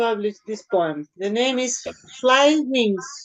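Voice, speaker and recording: Speaking very slowly, a woman uses lively intonation and a high pitch. She has a Spanish accent. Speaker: surrealist poet. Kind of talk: poetry reading. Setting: video call. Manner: halting.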